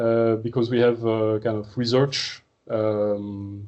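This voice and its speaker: With a French accent, this man speaks at a medium pitch and keeps his intonation fairly even. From France. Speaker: marine research scientist. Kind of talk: seminar talk. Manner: hesitant, many fillers.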